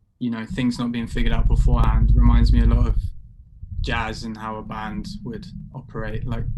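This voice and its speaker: Loudness swings widely as a man speaks at a fairly quick pace. There is audible room echo. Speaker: participant in community conversation. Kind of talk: group video call discussion. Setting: video call.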